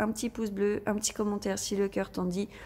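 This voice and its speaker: Her pitch is medium. The woman talks at a fairly quick pace. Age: 30s. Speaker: budgeting and craft shop vlogger. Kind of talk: casual vlog talk to viewers.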